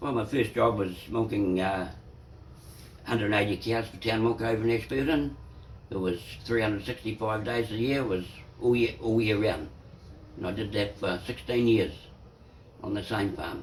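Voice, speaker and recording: A man with a New Zealand accent and a fairly low, somewhat breathy voice speaks at a moderate pace with fairly even intonation and long, frequent pauses. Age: 60s. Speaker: dairy farmer. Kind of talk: interview answer.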